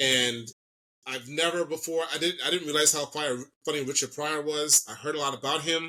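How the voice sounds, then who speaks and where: This man speaks with an American accent in a fairly high, bright and sharp voice, keeping his intonation fairly even. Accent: can slip into Jamaican. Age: 40s. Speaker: comedian and social media personality. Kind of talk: podcast interview. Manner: fast; mumbling.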